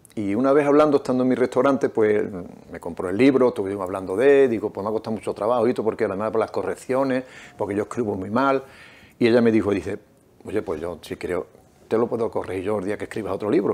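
Ordinary pitch variation from a man talking at a very fast pace. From Nerva, Huelva, Andalusia, Spain; Andalusia, Spain. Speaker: novelist and restaurant owner; interviewee. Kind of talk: reading aloud; interview. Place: studio. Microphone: lapel.

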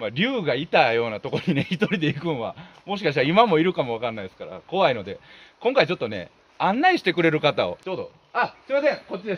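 Speaking at a very fast pace, a man uses a high pitch, very wide pitch swings and big swings in loudness. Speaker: comedian. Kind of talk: casual location vlog talk. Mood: light comic tone. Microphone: camera far.

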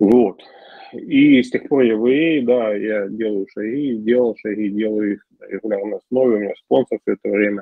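A man talks at a moderate pace in a medium pitch. It is a normal speaking voice with ordinary pitch variation. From Ukraine. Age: 40s. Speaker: recovering alcoholic speaker at support group. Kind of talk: personal testimony.

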